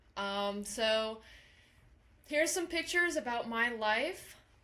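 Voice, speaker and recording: Audible room echo surrounds a woman speaking fairly slowly in a fairly high pitch with a bright, sharp tone. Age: 20s. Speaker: college instructor. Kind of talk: lecture. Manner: animated.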